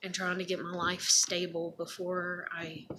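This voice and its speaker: Noticeable background noise runs under the recording. A woman speaks in a fairly low voice. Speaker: vlogger. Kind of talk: casual monologue vlog. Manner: rambling with many fillers. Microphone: may be too quiet.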